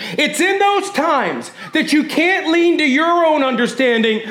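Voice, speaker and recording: Amid noticeable background noise and audible room echo, a man speaks in an animated tone at an extremely high pitch. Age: 20s. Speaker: pastor. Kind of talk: sermon; church announcements. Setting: church service with congregation.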